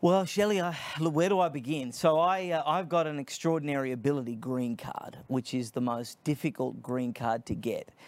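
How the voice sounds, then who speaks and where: Speaking with an Australian accent, a man with a fairly high pitch keeps a moderate pace, ordinary pitch variation and hardly any pauses. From Australia (Sydney). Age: 30s. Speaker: nonprofit founder, political commentator. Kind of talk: interview.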